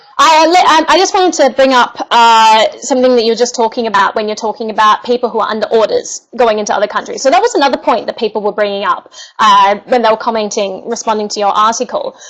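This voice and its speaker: A woman with a fairly high pitch and lively intonation, talking at a very fast pace with hardly any pauses, over noticeable background noise. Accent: Australian. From Australia. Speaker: online show host. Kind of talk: online debate discussion.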